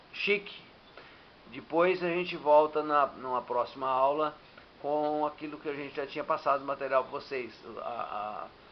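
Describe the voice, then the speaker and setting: Speaking fairly slowly with long, frequent pauses, a man with a fairly high voice shows ordinary pitch variation and big swings in loudness. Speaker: teacher. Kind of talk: lecture. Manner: halting.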